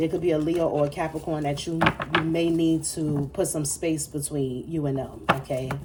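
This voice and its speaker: A woman speaks in a very deep, low voice over noticeable background noise. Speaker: tarot reader. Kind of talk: tarot reading monologue. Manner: fast; animated.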